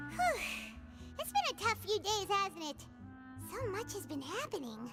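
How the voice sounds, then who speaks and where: Loud music plays in the background of a put-on character voice. The pitch is extremely high and the pace moderate. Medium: video game. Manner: refers to self in third person.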